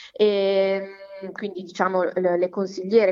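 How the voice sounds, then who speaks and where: A woman's medium-pitched voice. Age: 30s. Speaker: psychologist and local politician. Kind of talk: interview. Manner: halting, many fillers.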